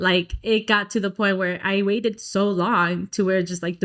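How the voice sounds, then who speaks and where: A woman at a medium pitch with fairly even intonation and an American accent, on a very clean recording with a silent background. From Dallas, Texas. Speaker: singer. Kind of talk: interview answer.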